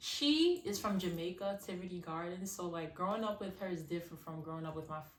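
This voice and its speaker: A woman talks at a fairly quick pace with a New York accent and fairly even intonation. Audible echo from the room surrounds her voice. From Brooklyn, New York (Crown Heights), born in Haiti. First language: Haitian Creole. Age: 20s. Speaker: singer. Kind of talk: casual interview. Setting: outdoors.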